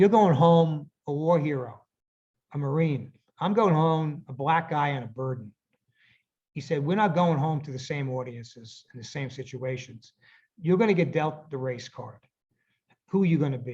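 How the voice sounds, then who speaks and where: A fairly high-pitched man with an American accent, somewhat breathy, at a moderate pace with ordinary pitch variation, big swings in loudness and long, frequent pauses. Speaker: author. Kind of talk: interview answer.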